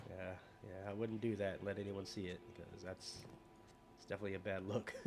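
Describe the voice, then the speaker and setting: Quiet and very fast, a man speaks with fairly low pitch and monotone, flat intonation while his loudness swings a lot. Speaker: gaming streamer. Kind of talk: casual live stream chat. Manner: quiet, low volume. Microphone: too quiet, moving mic closer.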